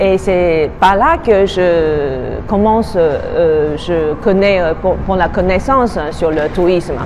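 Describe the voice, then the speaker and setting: A woman with a Taiwanese accent speaks at a very slow pace in a medium pitch, with ordinary pitch variation, very even loudness and hardly any pauses, over noticeable background noise and audible room echo. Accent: Taiwanese Mandarin accent in French. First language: Mandarin (speaking French). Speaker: tour guide. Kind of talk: interview answers. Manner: halting, many hesitations.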